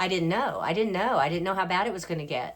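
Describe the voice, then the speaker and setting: With an American accent, a woman with a fairly low pitch and ordinary pitch variation talks in an unremarkable speaking voice. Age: 60s. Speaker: family caregiver, former beauty pageant winner. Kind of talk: casual talk to camera.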